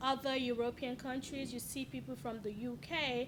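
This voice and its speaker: A woman talks at a moderate pace in a high-pitched voice. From Nigeria. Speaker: podcast co-host, channel owner. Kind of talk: casual chat.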